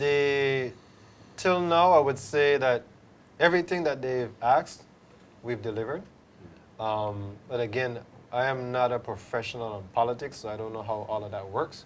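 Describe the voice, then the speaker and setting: With long, frequent pauses, a man speaks at a moderate pace and a medium pitch with ordinary pitch variation. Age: middle-aged. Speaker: drag racing association representative. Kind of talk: studio interview.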